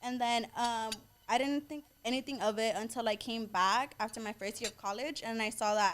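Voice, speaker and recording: A woman with a Southern California accent speaks at a fairly high pitch with fairly even intonation. Music plays in the background. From US West Coast, Inglewood, Los Angeles. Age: 20s. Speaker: social media influencer and boutique owner. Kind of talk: casual podcast interview.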